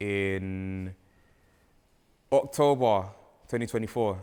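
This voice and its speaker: A fairly low-pitched man in a London accent, on a very clean recording with a silent background. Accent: London, multicultural London English. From London, Pimlico. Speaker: music artist and documentary presenter. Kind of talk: casual interview chat. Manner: halting, self-correcting.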